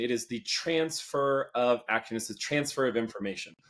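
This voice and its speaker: Ordinary pitch variation marks this man's speech. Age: 30s. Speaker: public speaker and communication expert. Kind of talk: interview.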